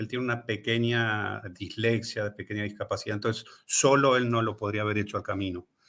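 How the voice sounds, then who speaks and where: A man talks with an Argentine accent at a medium pitch. His pace is fairly quick with hardly any pauses, in a very clean recording with a silent background. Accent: Rioplatense Argentine Spanish. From Argentina. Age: 60s. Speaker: author and pilgrim. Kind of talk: casual chat. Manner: animated.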